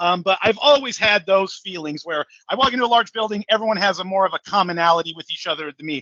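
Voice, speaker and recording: In an American accent, a raised, projected voice rushes along at a very fast pace, animated and bright and sharp, with lively intonation. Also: man. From California, San Francisco Bay Area (Hayward). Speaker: salesman and podcast host. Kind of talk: casual interview conversation. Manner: loud; animated, filler-heavy with repetitions.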